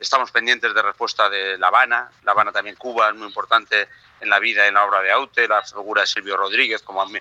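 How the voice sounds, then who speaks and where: Dry and close with no echo, the recording holds a man's voice. He talks at a very fast pace. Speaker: film director and producer. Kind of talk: phone interview.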